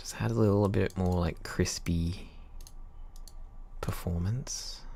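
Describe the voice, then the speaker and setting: A man with an Australian accent talks at a very slow pace. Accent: mild Australian. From Australia, Queensland. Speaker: composer; music composer streamer. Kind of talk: casual livestream chat while working. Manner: casual, halting. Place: home room. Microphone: studio mic.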